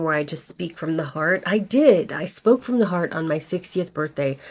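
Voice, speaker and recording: On a very clean recording with a silent background, a woman with a fairly low pitch speaks in a normal speaking voice. Her pace is moderate and her pitch variation ordinary. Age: 60s. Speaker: actor and acting coach vlogger. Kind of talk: casual vlog talk to camera. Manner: conversational, candid.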